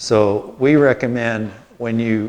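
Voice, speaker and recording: Speaking at a medium pitch, a man keeps his intonation fairly even. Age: 60s. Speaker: biochar company owner giving a gardening talk. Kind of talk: lecture. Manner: casual, conversational.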